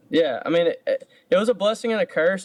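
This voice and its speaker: In a Georgia accent, a man talks at a very fast pace, the sound dry and close with no echo. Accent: Georgia twang. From US South, Georgia (Statesboro). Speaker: country singer. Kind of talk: casual interview. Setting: video call. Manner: halting.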